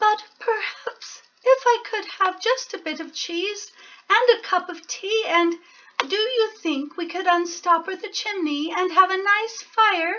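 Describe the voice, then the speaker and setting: A woman puts on a character voice at an extremely high pitch, speaking at a fairly slow pace. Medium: read story. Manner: soft, polite, murmuring.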